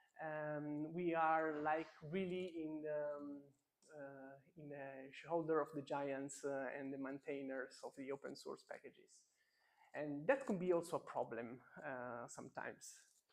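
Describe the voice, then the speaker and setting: A man's plain, everyday voice, fairly high in pitch, at a fairly slow pace, with fairly even intonation and big swings in loudness. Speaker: machine learning engineer giving a meetup talk. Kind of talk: conference talk.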